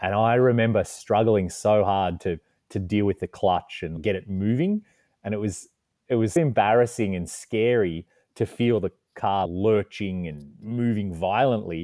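A man's fairly low voice with ordinary pitch variation, at a fairly slow pace. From Australia. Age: 30s. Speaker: adventure writer and photographer. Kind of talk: casual interview.

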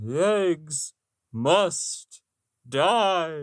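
At a middle pitch, someone performs in a put-on character voice. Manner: ghostly.

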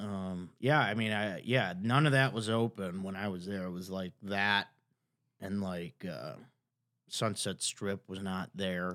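With an American accent, a man speaks in a normal speaking voice at a fairly low pitch with ordinary pitch variation, recorded very cleanly against a silent background. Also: fairly slow pace. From Chicago, US Midwest. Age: 30s. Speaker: comedian. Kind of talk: casual chat.

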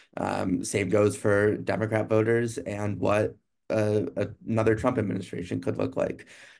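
There is vocal fry in this man's fairly low voice. He speaks at a moderate pace with flat, monotone intonation. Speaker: political reporter. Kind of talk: live-streamed panel discussion. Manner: halting, many fillers.

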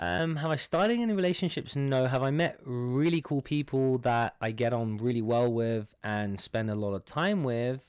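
Lively intonation and a moderate pace carry a London accent on a very clean recording with a silent background. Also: man, medium pitch for a man. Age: 20s. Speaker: startup worker. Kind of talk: casual chat.

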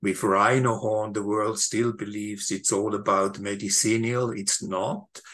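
A fairly low-pitched man at a fairly slow pace, monotone and flat in intonation, against a quiet background. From Switzerland. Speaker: wildlife documentary maker and activist. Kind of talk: interview. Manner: halting.

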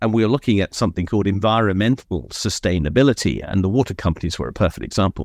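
Against a quiet background, a man with vocal fry talks very fast with hardly any pauses and ordinary pitch variation, in a dry, close sound with no echo. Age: 60s. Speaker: professor and chartered accountant. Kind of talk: casual interview chat.

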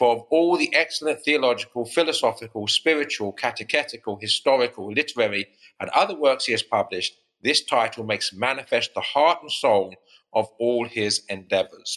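In a dry, close recording with no echo and a quiet background, a man with an English accent speaks at a fairly quick pace in a bright, sharp tone, his medium pitch showing ordinary variation.

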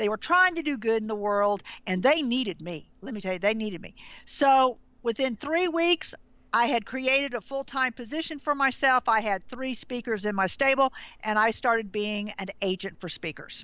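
A woman with a fairly high voice talks at a moderate pace. Her intonation is lively. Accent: Southern US. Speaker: branding consultant. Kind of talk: interview.

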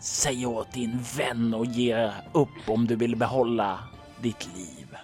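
Over clear music in the background, a man puts on a character voice that is raspy and hissing at a medium pitch. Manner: threatening.

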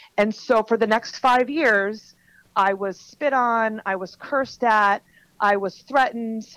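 A woman uses a plain, everyday voice at a fairly high pitch with ordinary pitch variation and a fairly slow pace. The recording is very clean, with a silent background. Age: 40s. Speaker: author and transformational coach. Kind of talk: podcast interview, personal testimony.

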